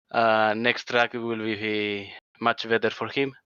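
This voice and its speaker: A medium-pitched man's voice in a Spanish accent, monotone and flat, at a very slow pace, dry and close with no echo against a quiet background. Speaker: sim racing driver. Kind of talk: post-race interview. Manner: halting.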